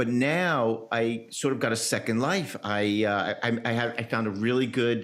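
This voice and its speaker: A man in a normal speaking voice talks at a moderate pace and medium pitch, with ordinary pitch variation, very even loudness and hardly any pauses. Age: 60s. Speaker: physician podcast host. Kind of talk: interview conversation.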